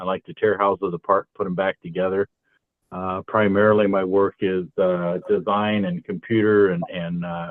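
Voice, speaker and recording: In a General American accent, a man with a normal speaking voice talks at a fairly low pitch and moderate pace. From California. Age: 60s. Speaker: kitchen and bath designer. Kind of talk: round table discussion.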